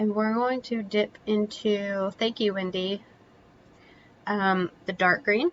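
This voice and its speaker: A soft-spoken woman's medium-pitched voice with fairly even intonation. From Kentucky. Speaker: painting instructor. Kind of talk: live painting tutorial. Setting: live stream.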